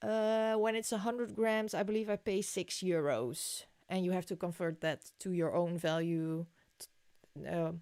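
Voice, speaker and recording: In a Dutch accent, a dark, mellow voice moves at a fairly slow pace with ordinary pitch variation on a very clean recording with a silent background. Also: woman, medium pitch for a woman. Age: 20s. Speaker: crafting YouTuber. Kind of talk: casual livestream chat reading comments. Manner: hesitant, with fillers.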